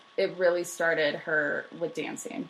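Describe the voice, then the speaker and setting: A woman mumbles at a fairly slow pace and a fairly low pitch. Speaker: history podcast co-host. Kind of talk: casual chat. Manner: mumbling.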